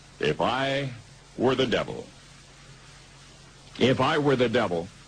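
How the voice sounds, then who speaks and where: A man with an American accent speaks at a fairly slow pace over noticeable background noise. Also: medium pitch for a man, lively intonation, very even loudness. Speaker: radio host. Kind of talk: radio commentary essay reading.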